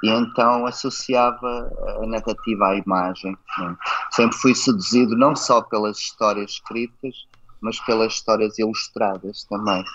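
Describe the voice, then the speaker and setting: A man talks fairly slowly at medium pitch with fairly even intonation. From Portugal. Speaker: festival curator and children's author-illustrator. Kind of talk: interview. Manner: hesitant, with frequent repetitions.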